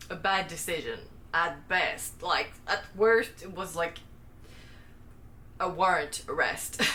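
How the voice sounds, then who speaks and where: Speaking at a very slow pace with long, frequent pauses, a woman with a non-native accent uses a medium pitch and monotone, flat intonation, over noticeable background noise and audible room echo. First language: not English. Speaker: booktuber. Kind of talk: casual monologue book review. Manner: casual, filler-heavy with frequent like; somewhat halting, self-correcting.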